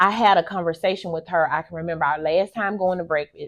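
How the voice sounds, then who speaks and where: A woman with an ordinary speaking voice, fairly low in pitch, talking at a fairly quick pace with fairly even intonation. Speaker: podcast host. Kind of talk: motivational monologue.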